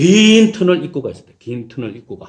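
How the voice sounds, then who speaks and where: Very wide pitch swings mark this man's high voice. He speaks at a fairly slow pace. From South Korea, Daegu (Gyeongsang). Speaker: pastor. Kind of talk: sermon.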